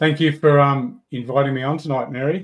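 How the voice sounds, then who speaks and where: In an Australian accent, the speaker goes at a moderate pace with fairly even intonation. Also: man. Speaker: software developer and rod builder. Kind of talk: casual livestream chat. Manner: halting, repeats words.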